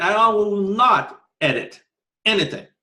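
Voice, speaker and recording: A man speaks with a strong Brazilian accent. His tone is bright and sharp. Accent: heavy Brazilian Portuguese. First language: Portuguese. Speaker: martial arts instructor. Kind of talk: podcast monologue. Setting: home living room. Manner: many filler words. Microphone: pretty good microphone.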